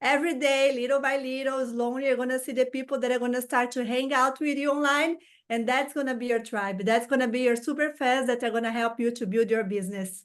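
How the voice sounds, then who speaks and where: A woman talks very fast at a high pitch, her intonation fairly even. She has a Portuguese accent, and the background is quiet. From Brazil. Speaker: social media content creator. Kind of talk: interview. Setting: video call.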